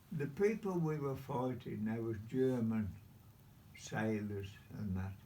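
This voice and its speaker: Heard with audible room echo, a man at a medium pitch speaks at a fairly slow pace in a dark, mellow tone with lively intonation. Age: 90s. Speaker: WW2 navy veteran. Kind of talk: casual interview. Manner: repetitive.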